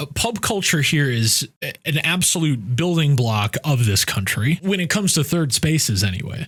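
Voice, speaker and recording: Speaking with an American accent at a moderate pace, a man keeps a fairly high pitch and very even loudness while his pitch swings very widely. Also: hardly any pauses. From United States. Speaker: expat vlogger. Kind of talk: casual talk to camera.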